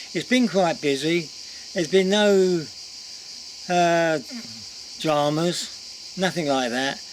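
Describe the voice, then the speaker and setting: With an English accent, the speaker goes at a very slow pace with long, frequent pauses over noticeable background noise. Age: 70s. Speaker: vlogger. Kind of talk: casual vlog talk to camera. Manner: chatty, informal.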